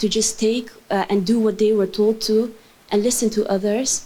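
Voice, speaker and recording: A woman's fairly high voice carries a dark, mellow tone and a monotone, flat intonation. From Netherlands. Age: 20s. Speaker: youth advocate. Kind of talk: conference talk. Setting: stage with audience.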